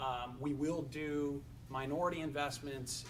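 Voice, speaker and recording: A man speaks in a flat monotone at a medium pitch, with audible room echo. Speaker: family office executive. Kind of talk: panel discussion.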